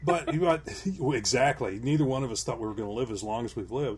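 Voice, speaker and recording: A somewhat breathy man speaks with lively intonation on a very clean recording with a silent background. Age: 60s. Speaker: podcast co-host. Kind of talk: casual chat; joke telling.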